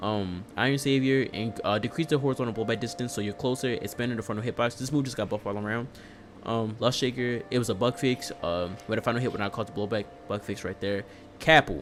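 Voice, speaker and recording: A man speaks at a very fast pace over music in the background. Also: medium pitch for a man, ordinary pitch variation. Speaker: fighting game streamer. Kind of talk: live stream commentary on patch notes. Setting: live stream. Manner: casual, filler-heavy.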